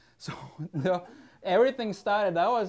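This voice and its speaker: A man with a non-native accent, fairly quick pace and lively intonation, against a quiet background. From Switzerland. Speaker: drone business owner. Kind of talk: casual talk.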